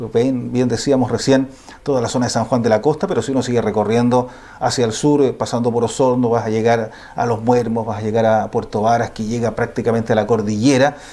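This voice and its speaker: Over noticeable background noise, a man with a medium pitch talks at a fairly quick pace in a monotone, flat intonation. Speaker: TV journalist, interviewer. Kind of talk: TV interview host.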